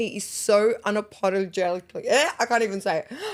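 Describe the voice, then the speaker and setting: Here is a woman with an Australian accent and an animated tone. She keeps a moderate pace. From Lebanon. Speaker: aesthetic nurse, podcast co-host. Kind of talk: casual chat.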